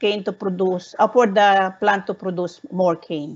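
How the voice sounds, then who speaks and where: A woman with a Filipino accent speaks at a medium pitch and a fairly slow pace. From Philippines. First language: Tagalog. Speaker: researcher presenting a study. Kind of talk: webinar presentation. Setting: online webinar. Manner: halting, frequent self-corrections.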